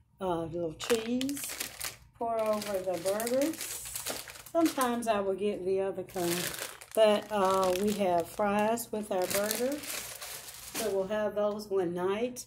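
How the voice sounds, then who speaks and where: Noticeable background noise sits behind a woman speaking. She goes at a fairly slow pace with long, frequent pauses. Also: ordinary pitch variation. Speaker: home vlogger. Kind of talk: casual vlog chat. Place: home room. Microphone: phone near.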